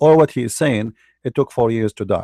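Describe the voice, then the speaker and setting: A man with an Arabic accent speaks at a medium pitch with ordinary variation and a dark, mellow tone, in a very clean recording with a silent background and a dry, close sound with no echo. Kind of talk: religious debate commentary. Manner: halting, with repetitions.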